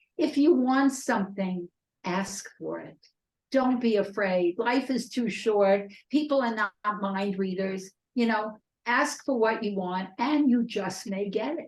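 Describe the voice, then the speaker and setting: At a fairly slow pace, a woman speaks in a somewhat breathy, fairly high pitch with ordinary pitch variation. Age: 80s+. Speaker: ghostwriter and publisher. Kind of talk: interview.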